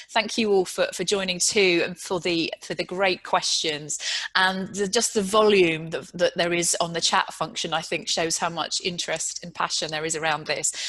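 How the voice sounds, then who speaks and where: A woman with a British accent speaks at a moderate pace and medium pitch, with fairly even intonation and hardly any pauses. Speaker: panel moderator, chief executive; panel moderator. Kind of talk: panel discussion moderation. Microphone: video call.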